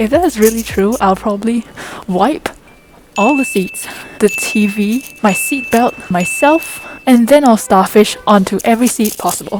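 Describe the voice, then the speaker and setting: A woman speaks at fairly high pitch and a moderate pace with very wide pitch swings. Noticeable background noise runs underneath. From Malaysia. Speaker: vlogger, university student. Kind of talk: casual travel vlog.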